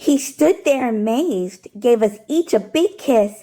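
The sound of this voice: The voice has a dark, mellow tone and moves at a slow pace. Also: woman, fairly high pitch for a woman, lively intonation.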